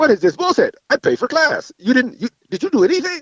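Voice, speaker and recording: In a put-on character voice, a man talks very fast at an extremely high pitch with very wide pitch swings. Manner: angry, scolding.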